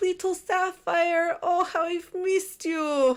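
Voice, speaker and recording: A woman's put-on character voice in an Eastern European accent, extremely high in pitch, at a fairly slow pace. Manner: theatrical, affectionate.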